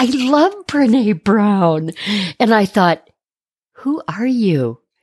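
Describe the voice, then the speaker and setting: A woman with an American accent speaks very slowly in a fairly high, somewhat breathy voice with very wide pitch swings. The sound is dry and close, with no echo. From Detroit, US Midwest. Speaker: art therapist. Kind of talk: interview.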